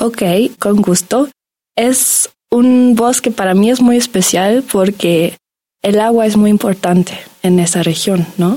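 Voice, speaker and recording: A woman speaks at a fairly slow pace with a German accent. Her voice has a dark, mellow tone, medium pitch and fairly even intonation. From Germany. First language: German (speaking Spanish). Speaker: graduate student in biology. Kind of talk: radio interview.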